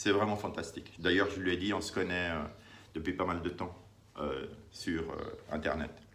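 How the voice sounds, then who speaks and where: Amid noticeable background noise and audible room echo, a man with a very deep, low voice speaks at a moderate pace with fairly even intonation and long, frequent pauses. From Italy (Naples). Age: 50s. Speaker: vlogger sharing diet experience. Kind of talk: personal testimony vlog. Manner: hesitant, many fillers.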